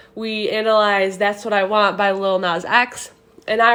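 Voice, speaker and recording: A woman speaks at a fairly high pitch. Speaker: student. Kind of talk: class assignment monologue. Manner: fast.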